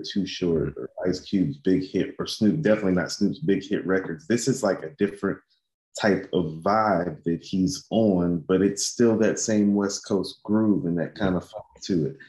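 A man's plain, everyday voice, fairly low in pitch, at a moderate pace with hardly any pauses. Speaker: podcast co-host. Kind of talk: casual music discussion.

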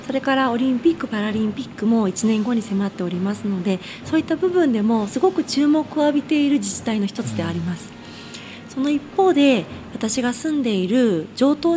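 A woman speaks at a moderate pace with very wide pitch swings over noticeable background noise. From Tokyo, Koto ward. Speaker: local politician. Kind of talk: radio interview. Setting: radio studio.

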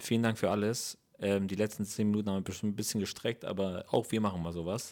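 A man with a normal speaking voice talks at a fairly quick pace, his fairly low pitch held in a fairly even intonation. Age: 30s. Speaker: podcast host and comedian. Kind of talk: casual chat.

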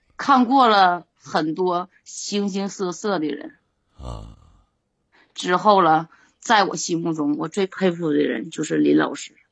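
A woman's fairly low voice with lively intonation at a very slow pace. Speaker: caller, fortune teller. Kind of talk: call-in conversation. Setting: live-stream voice link.

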